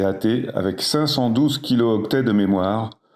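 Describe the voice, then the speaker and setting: Fairly slow delivery in a dark, mellow tone, its pitch varying in an ordinary way. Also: man. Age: 60s. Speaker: emergency doctor. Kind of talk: interview.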